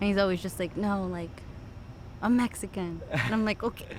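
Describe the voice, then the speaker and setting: With a Californian accent, a woman talks at a medium pitch with fairly even intonation. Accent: Californian American English. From Los Angeles suburbs, California. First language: Spanish. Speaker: behavior therapist. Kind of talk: casual chat. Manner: heavy filler 'like', casual.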